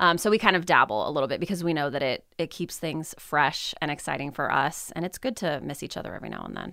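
A woman's very deep, low voice with vocal fry and a bright, sharp tone, at a very fast pace with lively intonation and big swings in loudness, on a very clean recording with a silent background. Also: hardly any pauses. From US West, southern California desert. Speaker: university lecturer. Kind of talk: casual interview.

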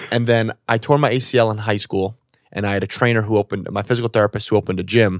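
A man with a New York accent at a very fast pace, fairly low in pitch and fairly even in intonation, in a very clean, silent-background recording with a dry, close sound and no echo. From New York City. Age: 20s. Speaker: comedy show producer. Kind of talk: casual chat.

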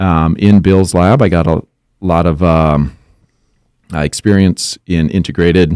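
With an Upper Midwest accent, a man speaks at a very deep, low pitch in a dark, mellow tone, on a very clean recording with a silent background and a dry, close sound with no echo. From Minnesota, Monticello. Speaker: entomologist. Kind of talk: interview. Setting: studio.

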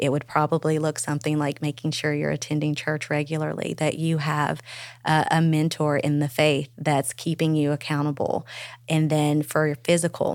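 At a moderate pace, a woman with a very deep, low pitch speaks in a monotone, flat way with very even loudness, on a very clean recording with a silent background. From Arkansas. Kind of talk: interview.

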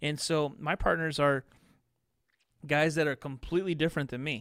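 A man with an American accent and a plain, everyday voice speaks at a fairly quick pace and fairly high pitch in a very clean recording with a silent background. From US Midwest (Chicago, southern Indiana). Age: 30s. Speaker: contracting business podcaster and consultant. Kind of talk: casual interview.

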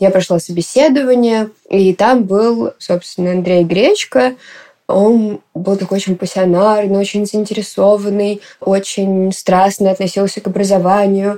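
With a dark, mellow tone, a woman speaks at medium pitch and with fairly even intonation. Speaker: poet and activist. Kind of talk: interview testimony.

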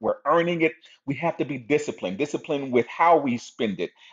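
A man with a fairly high voice for a man, talking at a very fast pace. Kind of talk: casual share.

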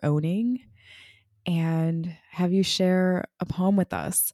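A woman's very slow delivery, warm and upbeat yet dark and mellow in tone, with a dry, close sound and no echo. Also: very clean recording, silent background. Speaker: podcast host and business founder. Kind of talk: casual conversational podcast hosting. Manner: warm, upbeat, encouraging, laughing.

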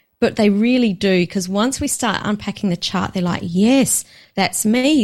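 The woman sounds somewhat breathy, with a medium pitch. She moves at a moderate pace with ordinary pitch variation. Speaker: business coach, author and podcast host. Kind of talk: casual interview chat.

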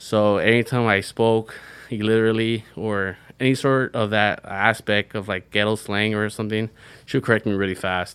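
With a Californian accent, a man speaks at a moderate pace and fairly low pitch in a monotone, flat intonation, on a very clean recording with a silent background. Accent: Californian American English. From Central California. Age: 20s. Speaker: student veteran. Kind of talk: interview. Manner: casual, halting.

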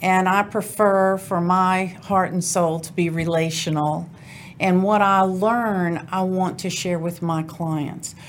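A woman with an American accent at a medium pitch, speaking at a fairly slow pace amid audible room echo. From US South, New Orleans. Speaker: divorce lawyer. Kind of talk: interview.

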